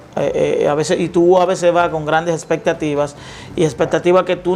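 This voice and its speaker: A man speaks in a high, monotone, flat voice. Noticeable background noise runs underneath. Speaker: lawyer and media commentator. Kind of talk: interview. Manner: halting.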